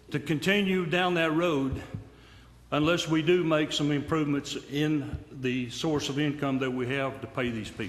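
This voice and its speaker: In an East Tennessee accent, a man with a fairly high pitch and ordinary pitch variation speaks amid audible room echo. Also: moderate pace. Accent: East Tennessee Southern American. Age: 70s. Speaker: retiree speaking at public comment. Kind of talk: public comment at a county meeting. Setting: county commission room. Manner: halting.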